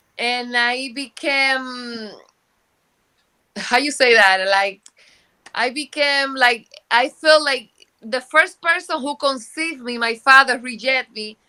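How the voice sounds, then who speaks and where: Her voice raised and projected, a woman with a Spanish accent speaks at a very slow pace with long, frequent pauses, her high pitch showing ordinary pitch variation and a bright, sharp tone. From Dominican Republic. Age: 50s. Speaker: book co-author. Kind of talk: interview. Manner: halting.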